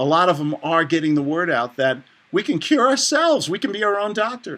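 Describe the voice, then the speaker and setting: Bright and sharp in tone, a man speaks with a New York accent at a high pitch. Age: 60s. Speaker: author and real estate investor. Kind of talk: interview. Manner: animated.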